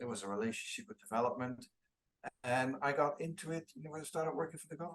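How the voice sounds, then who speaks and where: In a Dutch accent, the speaker rattles along at a very fast pace with lively intonation and big swings in loudness. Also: man, fairly high pitch for a man. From Netherlands, near Eindhoven. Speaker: international trade official. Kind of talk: interview. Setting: video call.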